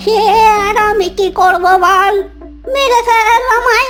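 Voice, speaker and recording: A woman's cartoonish character voice at extremely high pitch and a fairly slow pace, over clear background music. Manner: calm, unbothered.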